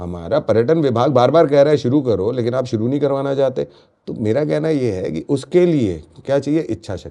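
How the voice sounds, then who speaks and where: A man at a moderate pace with lively intonation. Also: medium pitch for a man. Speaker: local business association leader. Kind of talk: podcast interview. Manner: animated.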